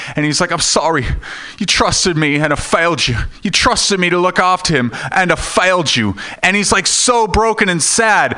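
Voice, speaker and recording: With noticeable background noise behind him, a man speaks at a moderate pace in a high pitch, his intonation lively and his loudness very even. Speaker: stand-up comedian. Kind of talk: stand-up. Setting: stage with audience.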